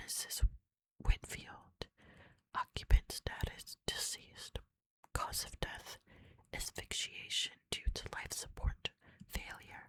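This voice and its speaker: Whispering at a very slow pace, a woman leaves long, frequent pauses, her loudness swinging widely, in dry, close sound with no echo. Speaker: ASMR creator. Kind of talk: ASMR reading of game terminal text. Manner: whispered, soft-spoken.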